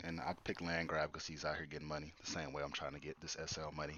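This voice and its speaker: Very deep and low, a man's voice moves at a very fast pace with monotone, flat intonation. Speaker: podcast host. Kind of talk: casual chat.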